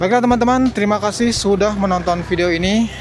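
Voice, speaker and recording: A man speaks with music playing in the background. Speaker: street vlogger. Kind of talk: walking vlog commentary. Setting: outdoors at street market. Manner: casual, chatty.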